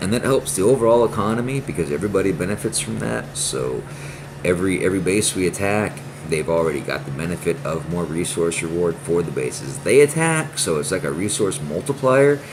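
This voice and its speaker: A man with a very deep, low pitch speaks at a fairly quick pace with very wide pitch swings. Noticeable background noise is present. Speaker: gaming youtuber. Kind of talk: casual gameplay commentary. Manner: stuttering, repetitive; animated.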